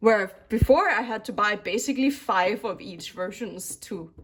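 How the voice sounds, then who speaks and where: A woman speaks with a Danish accent. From Denmark. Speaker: K-pop album collector YouTuber. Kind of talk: casual chat. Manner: animated.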